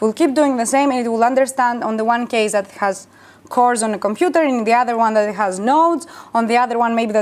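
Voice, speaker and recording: Fairly quick speech from a woman, her pitch fairly high. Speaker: bioinformatics engineer, conference speaker. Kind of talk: conference talk with Q&A. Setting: workshop stage with audience. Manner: fast; hesitant, many fillers.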